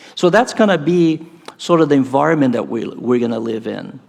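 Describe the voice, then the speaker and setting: A man speaks with a Brazilian Portuguese accent. His intonation is lively and his pace moderate. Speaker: professor. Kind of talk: conference talk. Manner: animated.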